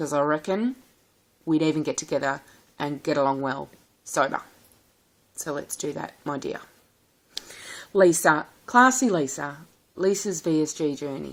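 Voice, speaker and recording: A woman in a strong rural Australian accent speaks with a very deep, low pitch and lively intonation. Long, frequent pauses break up her speech. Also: moderate pace. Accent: strong country Australian. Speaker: vlogger. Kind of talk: casual vlog. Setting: recorded at home, sitting at a table. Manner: warm and animated.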